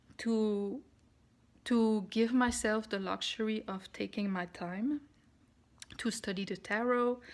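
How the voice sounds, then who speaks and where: Speaking at a very slow pace, a woman keeps a fairly even intonation on a very clean recording with a silent background. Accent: non-native. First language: not English. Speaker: spiritual vlogger (tarot). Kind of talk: casual vlog monologue. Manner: halting, with many fillers.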